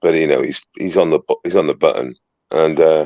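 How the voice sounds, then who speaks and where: A man with a Welsh accent at a moderate pace, in a dry, close sound with no echo. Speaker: citizen journalist livestreamer. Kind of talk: casual livestream chat. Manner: halting, repetitive.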